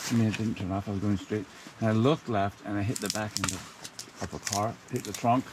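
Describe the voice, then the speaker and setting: A man mumbling at a fairly quick pace, fairly low in pitch, with fairly even intonation over noticeable background noise. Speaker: camping vlogger. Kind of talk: casual vlog narration. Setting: outdoors.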